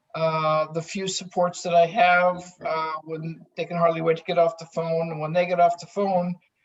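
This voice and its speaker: Monotone, flat delivery from a woman at a moderate pace, with big swings in loudness and hardly any pauses. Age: 60s. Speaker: psychiatric drug withdrawal survivor. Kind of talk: testimony.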